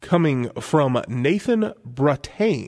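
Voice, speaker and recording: A man's fairly high, lively voice, an unremarkable speaking voice, against a quiet background. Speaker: co-host. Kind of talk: radio DJ patter: relaxed, bantering co-host chat and listener questions. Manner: easygoing, dry-humored.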